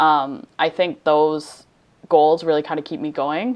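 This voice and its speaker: In a normal speaking voice, a woman talks with a fairly low pitch. She keeps a moderate pace. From Canada, moved often incl. abroad (Newfoundland-born). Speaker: fashion designer. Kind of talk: interview.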